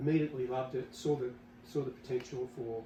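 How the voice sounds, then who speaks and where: A man with an Australian accent. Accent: Australian, noticed by Americans. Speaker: company executive. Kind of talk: podcast interview. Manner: halting, many fillers and repeats.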